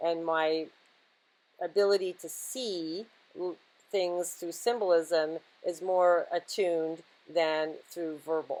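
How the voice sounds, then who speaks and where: A woman's fairly low voice at a fairly slow pace, with fairly even intonation. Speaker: spiritual channel host. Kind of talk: esoteric monologue. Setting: outdoors in woods. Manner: halting with frequent fillers; unpolished pronunciation.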